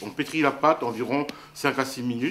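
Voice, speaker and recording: Fairly even intonation from a man, with light noise in the background. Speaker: presenter. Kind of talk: cooking tutorial. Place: kitchen.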